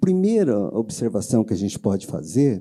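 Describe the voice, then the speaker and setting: The recording is very clean, with a silent background. A man with a dark, mellow tone talks at a moderate pace, his pitch swinging very widely. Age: 60s. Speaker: insurance consultant. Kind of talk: lecture. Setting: stage with audience. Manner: conversational, many fillers.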